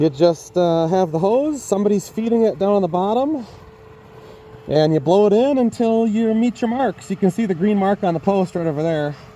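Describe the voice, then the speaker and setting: Over noticeable background noise, a man with a high voice speaks with lively intonation. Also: moderate pace. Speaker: homestead vlogger. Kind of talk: casual vlog narration. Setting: house under renovation, attic. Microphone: muffled by face mask.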